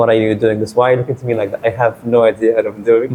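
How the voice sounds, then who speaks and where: A man speaks in a medium pitch. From Saudi Arabia, then Egypt from age eleven. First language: Arabic. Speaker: lawyer. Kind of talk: podcast interview. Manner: casual, with frequent fillers and repetitions.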